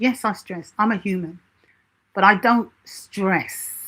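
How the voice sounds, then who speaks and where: A somewhat breathy woman at a fairly slow pace. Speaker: self-help channel host. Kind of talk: live stream Q&A talk.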